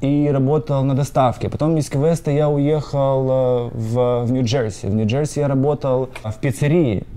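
A man speaks with a fairly high pitch and a dark, mellow tone. His intonation stays fairly even at a moderate pace. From Ukraine. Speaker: company co-founder. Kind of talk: interview.

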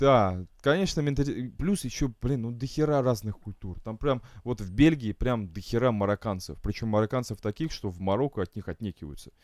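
In a very clean recording with a silent background, a man speaks at medium pitch and a moderate pace. He has an ordinary speaking voice with lively intonation. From Estonia. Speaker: guest living abroad in England. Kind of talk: casual banter chat.

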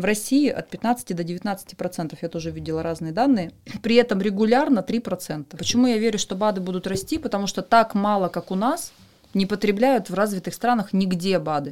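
A woman with a plain, everyday voice talks at a moderate pace and a medium pitch with lively intonation, on a very clean recording with a silent background. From Western Siberia, Russia. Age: 30s. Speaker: pharma marketing director. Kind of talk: podcast interview.

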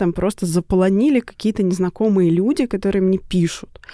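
A woman speaks very fast in a dark, mellow tone. Her pitch varies in an ordinary way. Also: dry, close sound with no echo. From Russia, Tula region (early years in Chukotka). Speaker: writer and creative writing teacher. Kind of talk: interview.

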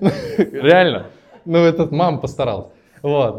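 A man speaks in a somewhat breathy voice. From Russia, Tatarstan (Naberezhnye Chelny). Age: 20s. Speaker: entrepreneur and podcast host. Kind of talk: personal life story told to a live audience. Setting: event with live audience. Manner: casual, improvised.

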